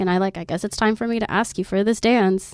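Very fast, a woman with an American accent speaks in a very clean recording with a silent background. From Oklahoma. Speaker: exotic dancer. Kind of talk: casual chat.

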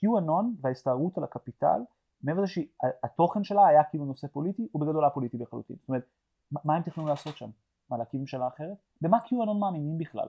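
A man's very fast delivery with lively intonation and big swings in loudness. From Tel Aviv, Israel. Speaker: podcast co-host. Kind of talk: casual chat. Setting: remote desert location. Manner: animated, stammering repetitions.

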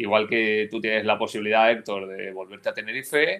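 A man with a normal speaking voice and fairly low pitch. He talks at a fairly quick pace with fairly even intonation. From Spain, Valencia region (Almussafes). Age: 40s. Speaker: sports journalist, remote work entrepreneur. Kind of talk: podcast panel discussion.

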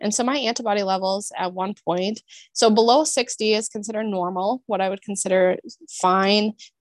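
At a moderate pace and medium pitch, a woman with an American accent uses a normal speaking voice with fairly even intonation, the sound dry and close with no echo. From Minnesota. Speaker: naturopathic doctor. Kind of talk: casual chat.

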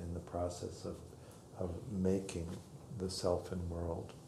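There is noticeable background noise and audible room echo as a man with a very deep, low pitch talks at a fairly slow pace. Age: 60s. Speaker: meditation teacher. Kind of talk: dharma talk. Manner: halting.

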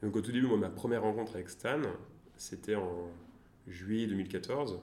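This man's dark, mellow tone comes through at a moderate pace. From France, Tours. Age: 20s. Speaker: venture capital investor. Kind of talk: interview. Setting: coworking space. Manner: halting.

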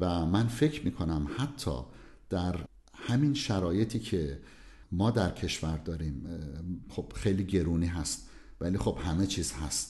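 Speaking at a fairly slow pace, a man with a very deep, low pitch and a dark, mellow tone sounds somewhat breathy, his intonation lively. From southern Iran. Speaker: cardiologist. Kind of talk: interview.

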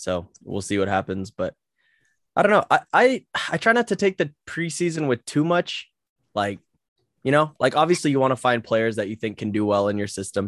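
Heard over a quiet background, a man talks at a moderate pace and medium pitch. His voice makes very wide pitch swings, and the sound is dry and close with no echo. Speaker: podcast host. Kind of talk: casual chat. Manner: joking.

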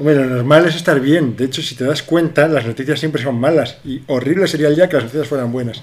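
A man's fairly high voice at a very fast pace, fairly even in intonation, with hardly any pauses. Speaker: podcast co-host. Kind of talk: casual chat.

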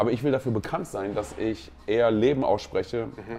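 A man speaks with a fairly low pitch. His tone is dark and mellow, with ordinary pitch variation. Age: 40s. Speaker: pastor. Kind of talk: casual chat. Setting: on location at a pastors' conference.

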